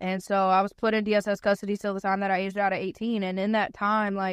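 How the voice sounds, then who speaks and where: Someone with a North Carolina accent talks at a very fast pace in a monotone, flat intonation, with a dry, close sound, no echo and a quiet background. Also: woman. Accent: US Southern (North Carolina). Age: 20s. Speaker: guest. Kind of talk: casual chat.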